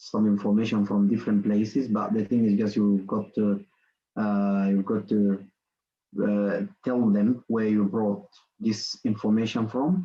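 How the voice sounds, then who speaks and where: A man's fairly low voice, dark and mellow in tone, with a non-native accent against a quiet background. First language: not English. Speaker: workshop presenter. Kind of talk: online lecture. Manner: halting, many fillers and repetitions.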